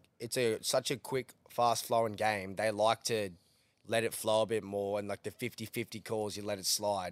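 A man's fairly low voice in a Queensland accent at a moderate pace, recorded very cleanly with a silent background and a dry, close sound with no echo. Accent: Australian, Queensland. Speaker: podcast host, rugby league and punting. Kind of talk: casual banter, sports recap. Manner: excitable, animated.

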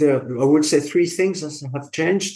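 In a French accent, a man speaks with ordinary pitch variation. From France. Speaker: engineering education specialist in industry. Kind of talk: interview. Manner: halting.

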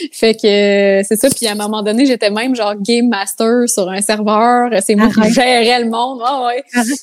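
A woman speaks with a Quebec accent at a moderate pace, hardly pausing. Her intonation is flat and monotone, and there is noticeable background noise. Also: fairly high pitch for a woman. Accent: Québécois French. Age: 20s. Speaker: content creator. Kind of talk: casual chat.

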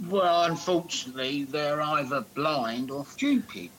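Over noticeable background noise, a man with a fairly high pitch talks at a fairly slow pace with lively intonation. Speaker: football podcast co-host. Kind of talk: casual chat. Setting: remote call.

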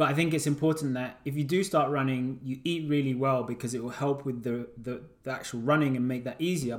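Noticeable background noise sits behind a man with a medium pitch. He speaks at a fairly quick pace with fairly even intonation. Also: hardly any pauses. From Uganda heritage. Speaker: podcast host and running coach. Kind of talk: casual chat.

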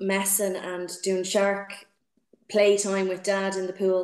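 A woman with a Dublin accent speaks at a medium pitch in a monotone, flat intonation. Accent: Dublin Irish. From Dublin, Ireland. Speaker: swimming coach. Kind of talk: interview. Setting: video call. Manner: hesitant, many fillers.

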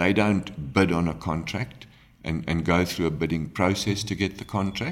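A man speaks in a very deep, low pitch. Vocal fry runs through his voice. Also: ordinary pitch variation, moderate pace. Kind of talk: interview. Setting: guesthouse recording. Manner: hesitant, frequent ums.

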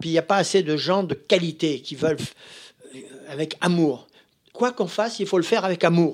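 A high-pitched man at a moderate pace, with ordinary pitch variation and long, frequent pauses. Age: 80s+. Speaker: master tailor. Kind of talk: interview.

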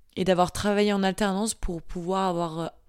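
On a very clean recording with total background silence, this woman talks in a monotone, flat intonation. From Marseille, southern France. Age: 20s. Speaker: young professional. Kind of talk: casual interview.

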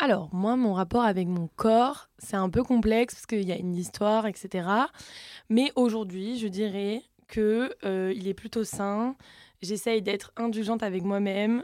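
A woman with a southern French accent speaks at a moderate pace in a medium pitch, her dark, mellow tone and fairly even intonation captured in a very clean recording with a silent background. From southern France. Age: 20s. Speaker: social media content creator. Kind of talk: casual chat.

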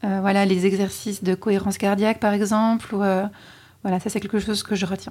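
Her intonation stays monotone and flat. The woman keeps a fairly quick pace. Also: medium pitch for a woman. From French Alps. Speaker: podcast co-host. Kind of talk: casual chat.

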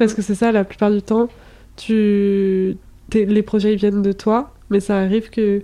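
A woman speaks fairly slowly at a medium pitch, her tone dark and mellow and her intonation flat and monotone. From France, Brittany. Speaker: podcast host. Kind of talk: casual interview chat.

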